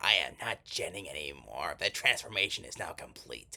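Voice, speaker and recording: A put-on character voice, moderately paced. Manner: over-the-top, theatrical.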